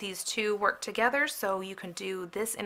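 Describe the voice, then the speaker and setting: On a very clean recording with a silent background, a woman of medium pitch speaks at a moderate pace in a bright, sharp tone. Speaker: papercrafting product reviewer. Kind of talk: product flip-through video. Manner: casual with many fillers.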